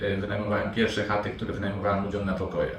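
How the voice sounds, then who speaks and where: A man's fairly low voice amid noticeable background noise and audible room echo. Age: 40s. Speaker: property investor. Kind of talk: interview. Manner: halting, with fillers.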